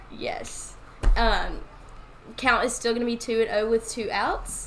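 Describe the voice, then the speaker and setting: A woman with a Louisiana accent speaks in a high pitch at a very slow pace, with very wide pitch swings. Music plays in the background, and there is audible room echo. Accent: Louisiana accent, drawn-out O's. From Louisiana, Winnfield. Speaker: softball play-by-play commentator. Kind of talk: live commentary. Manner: casual, chatty.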